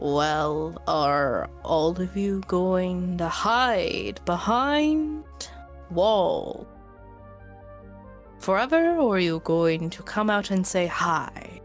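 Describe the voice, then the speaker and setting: A booming, put-on character voice, female-sounding and medium in pitch, at a very slow pace over clear music in the background. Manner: taunting, mocking.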